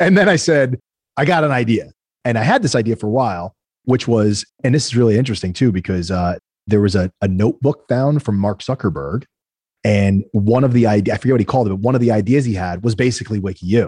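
At a very fast pace, a man with a medium pitch talks with lively intonation in a dry, close sound with no echo. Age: 40s. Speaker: tech entrepreneur and investor. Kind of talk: interview conversation.

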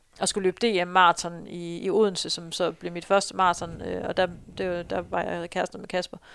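A woman talks at a moderate pace in a medium pitch, her intonation monotone and flat. The sound is dry and close, with no echo. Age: 30s. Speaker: runner and marketing employee. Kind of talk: interview, personal story.

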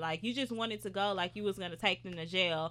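A woman talks at a fairly quick pace in a bright, sharp tone, with ordinary pitch variation. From Houston, Texas. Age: 20s. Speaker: media personality. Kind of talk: casual chat.

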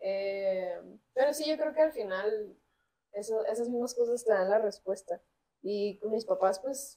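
Fairly slowly and with ordinary pitch variation, a woman talks in a fairly high voice with a dark, mellow tone. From Mexico, Culiacán, Sinaloa. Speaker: singer-songwriter. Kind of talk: casual interview.

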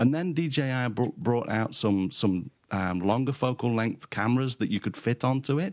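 Against a quiet background, a man with a British accent talks at a moderate pace with hardly any pauses, his medium pitch showing ordinary variation. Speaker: photographer and podcaster. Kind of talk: casual chat.

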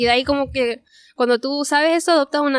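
A woman with a Chilean accent, high pitch and fairly quick pace. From Chile (Parral). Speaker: illustrator. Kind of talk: interview. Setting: restaurant.

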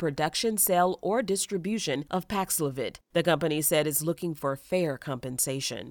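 A woman talks at a fairly quick pace with lively intonation and a fairly low pitch, in a plain, everyday voice. The recording is very clean, with a silent background. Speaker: finance news podcast host. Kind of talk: formal newsreading. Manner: brisk, even, businesslike delivery of figures; polished and formal.

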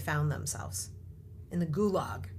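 This voice has vocal fry. Its pitch swings very widely. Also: woman. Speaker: tech entrepreneur and investor. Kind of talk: interview. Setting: studio.

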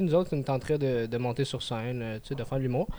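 A man is speaking. His pace is very fast. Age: 20s. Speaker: amateur comedian. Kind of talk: casual chat.

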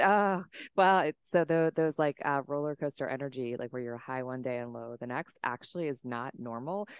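A woman's very deep, low voice with an American accent, moderate pace and ordinary pitch variation, in a dry, close sound with no echo. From Washington State, US. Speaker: nervous system business coach. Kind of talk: interview. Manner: calm, soothing.

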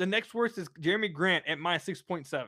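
A raised, projected voice with a bright, sharp, animated tone and lively intonation sounds dry and close with no echo on a very clean recording with a silent background. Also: man. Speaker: sports podcast host. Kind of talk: casual chat. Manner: loud.

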